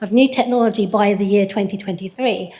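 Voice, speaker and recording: With an English accent, a woman speaks at a moderate pace with ordinary pitch variation, amid audible room echo and noticeable background noise. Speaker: researcher in systems engineering. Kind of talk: conference presentation. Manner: frequent fillers (um).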